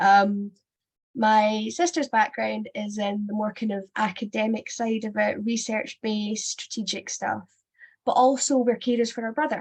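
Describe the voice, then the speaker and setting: A woman with a Scottish accent speaks at a fairly high pitch and a moderate pace, somewhat breathy, with ordinary pitch variation. The background is quiet. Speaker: sex education consultant and former teacher. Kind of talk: webinar presentation. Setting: online webinar.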